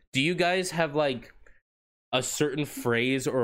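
A man speaks in an animated tone at a moderate pace. The recording is very clean, with a silent background. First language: not English. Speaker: podcast co-host. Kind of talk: casual chat.

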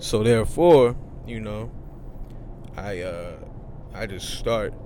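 Audible room echo is heard as a man talks. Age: 20s. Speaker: rapper. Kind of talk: casual interview. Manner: halting.

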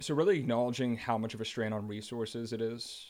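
A man with an American accent talks at a moderate pace with fairly even intonation, in a very clean recording with a silent background. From New Jersey, Central Jersey. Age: 30s. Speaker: energy company executive. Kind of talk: casual chat.

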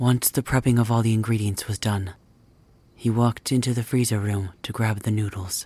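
Somewhat breathy man's voice, dark and mellow in tone, medium-pitched and monotone, at a fairly quick pace. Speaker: ASMR creator. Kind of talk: ghost story telling, scripted narration. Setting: ASMR roleplay video. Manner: measured, storytelling pace, hushed and suspenseful; plays multiple characters.

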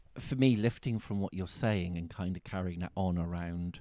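In a Bristol accent, a dark, mellow voice speaks with fairly even intonation on a very clean, dry, close recording with a silent background and no echo. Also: man. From Bristol, England. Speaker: tantra teacher and podcast host. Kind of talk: casual chat.

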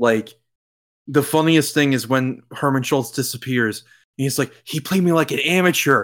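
A man's plain, everyday voice, fairly high in pitch, at a moderate pace with ordinary pitch variation. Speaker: podcast host. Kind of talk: casual chat, video game podcast. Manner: casual, joking, profane.

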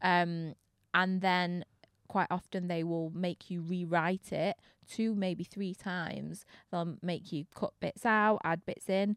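A woman with a Manchester accent talks at a very slow pace in a monotone, flat intonation, in a dry, close sound with no echo and a very clean recording with a silent background. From Manchester, England. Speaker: DJ and presenter. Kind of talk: casual interview chat. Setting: studio.

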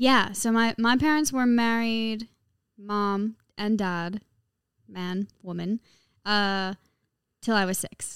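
In a very clean recording with a silent background and a dry, close sound with no echo, a woman with an American accent speaks at a very slow pace, with ordinary pitch variation and long, frequent pauses. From Caribbean and Los Angeles. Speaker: pop musician. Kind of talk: casual chat.

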